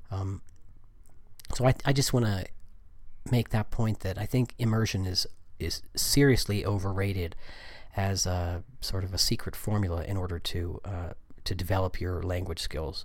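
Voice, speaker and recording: A man with an American accent and a fairly low pitch speaks at a moderate pace in a somewhat breathy voice, with ordinary pitch variation and long, frequent pauses. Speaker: podcast host, Spanish teacher. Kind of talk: solo podcast talk. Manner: halting with many fillers.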